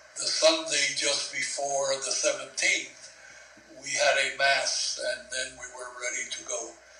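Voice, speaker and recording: Very slowly, a man speaks in a room with audible echo and noticeable background noise. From Cuba. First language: Spanish. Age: 70s. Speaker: war veteran. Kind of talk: oral history interview.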